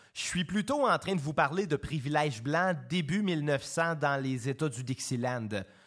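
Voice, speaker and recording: A man with a Quebec accent and a fairly high pitch talks at a fairly slow pace with ordinary pitch variation, in a very clean recording with a silent background. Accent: Québécois French. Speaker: podcast host, musician. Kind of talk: scripted narration.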